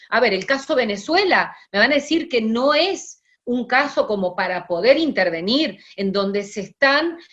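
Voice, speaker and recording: At a fairly slow pace yet with hardly any pauses, a woman speaks in a high voice. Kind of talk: lecture. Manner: hesitant fillers.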